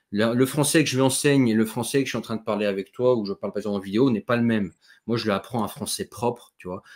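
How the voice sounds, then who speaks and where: On a very clean recording with a silent background, a man talks at a very fast pace in a medium pitch with ordinary pitch variation. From Netherlands. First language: Dutch (speaking French). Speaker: YouTube interviewer. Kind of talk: interview. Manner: halting.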